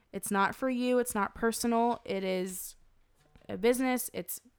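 A woman with an ordinary speaking voice, a fairly high pitch, fairly even intonation and an American accent. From North Carolina, near Raleigh. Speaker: designer and photographer. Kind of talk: casual interview chat.

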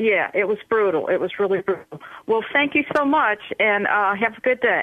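Using a plain, everyday voice, a woman with a fairly high pitch speaks at a moderate pace with lively intonation. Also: very even loudness. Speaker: caller. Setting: phone call.

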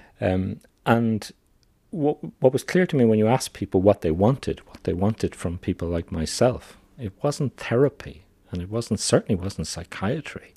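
With an Irish accent and lively intonation, a man with a fairly low pitch speaks at a moderate pace, captured in a very clean recording with a silent background and a dry, close sound with no echo. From Ireland. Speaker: psychiatrist. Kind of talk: interview.

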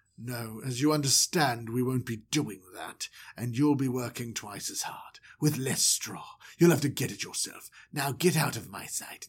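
A man uses a put-on character voice at a medium pitch. He speaks at a moderate pace with ordinary pitch variation. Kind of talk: comic storytelling impression. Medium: solo performance. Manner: cold, dismissive, haughty.

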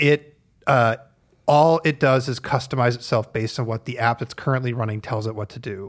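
This man has a plain, everyday voice, medium in pitch, with fairly even intonation and a fairly quick pace. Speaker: tech journalist, co-host. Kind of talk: casual chat. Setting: office with mild echo.

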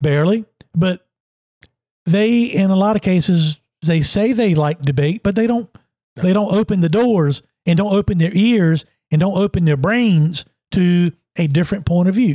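A man with a Virginia accent speaks in a high, dark, mellow voice at a moderate pace, with ordinary pitch variation. His loudness is very even, and his pauses are long and frequent. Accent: Southern US (Virginia). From Emporia, southern Virginia. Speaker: former racing driver and sports analyst, podcast co-host. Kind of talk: casual political chat.

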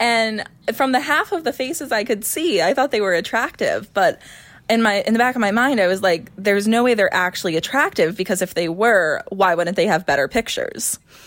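A woman with an American accent has an unremarkable speaking voice, fairly high in pitch, with lively intonation. She talks at a fairly quick pace, her loudness very even. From upstate New York. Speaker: member of a thruple. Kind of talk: interview.

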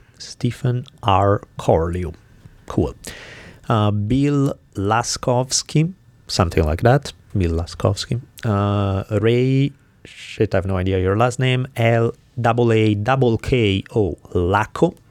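A man speaks with an Italian accent at a very slow pace. His pitch is fairly low. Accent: foreign (Italian). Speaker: podcast co-host, teacher and author. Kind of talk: interview and casual chat; reading out donor names and announcements.

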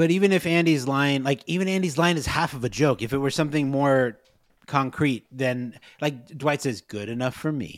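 Fairly high-pitched man at a moderate pace, ordinary pitch variation, very clean recording with a silent background. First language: not Spanish. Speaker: podcast co-host. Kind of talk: casual chat.

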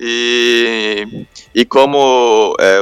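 A man speaks in a monotone with flat intonation. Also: very clean recording, silent background. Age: 20s. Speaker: pro gamer. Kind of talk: interview.

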